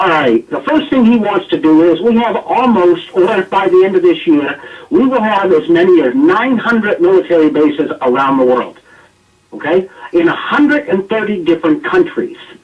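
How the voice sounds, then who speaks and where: Speaking with an American accent, a man uses a high pitch with very wide pitch swings. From United States. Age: 50s. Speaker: political commentator. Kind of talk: radio talk show discussion. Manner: animated.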